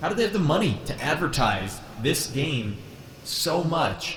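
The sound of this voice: Putting on a robotic character voice, a man speaks at a fairly high pitch and a moderate pace, with slight echo and clear background noise.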